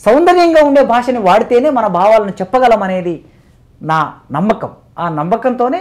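Against a quiet background, a man speaks at an extremely high pitch with very wide pitch swings. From Telangana, Mahabubnagar district; Telangana. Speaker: professor. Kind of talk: interview. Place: studio. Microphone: lapel.

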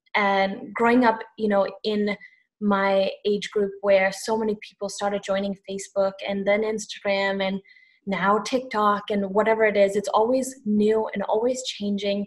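A woman of medium pitch speaks at a fairly slow pace with monotone, flat intonation over a quiet background. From Sri Lanka. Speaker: social media strategist. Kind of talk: panel discussion on webinar. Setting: video call. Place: home room. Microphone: video call.

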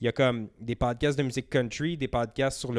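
Against a quiet background, a man with a Quebec accent speaks at a moderate pace. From Outaouais, Quebec (Gatineau area). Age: 30s. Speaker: podcast producer. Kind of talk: casual chat. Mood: relaxed storytelling. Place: home room. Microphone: handheld.

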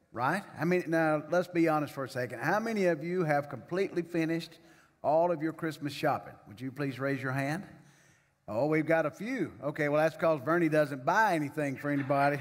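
A man speaks at a fairly quick pace, his pitch varying in an ordinary way, with a quiet background. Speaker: pastor. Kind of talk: sermon welcome and announcements. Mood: jovial, joking. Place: church. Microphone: podium.

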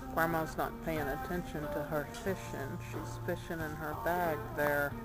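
A woman speaks at a fairly slow pace over loud background music. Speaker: family member filming. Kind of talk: casual home video narration. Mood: amused, affectionate. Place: waterside. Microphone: phone near.

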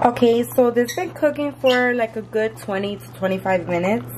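Noticeable background noise is present. Over it, a woman speaks at a moderate pace. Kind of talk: cooking tutorial. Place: kitchen. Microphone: phone near.

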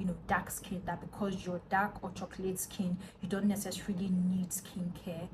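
Noticeable noise sits in the background. The speech goes at a moderate pace. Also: woman. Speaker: skincare vlogger. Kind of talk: casual vlog chat. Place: home room. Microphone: phone near.

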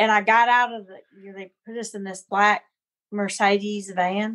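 At a moderate pace, a woman with a Southern US accent talks in fairly even intonation. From US South, Alabama. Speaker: chef. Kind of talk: casual interview.

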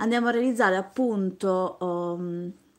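Fairly slow pace and ordinary pitch variation from a woman, quiet background behind her. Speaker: craft youtuber. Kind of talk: live stream beading tutorial. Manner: chatty, talks nonstop. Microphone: phone near.

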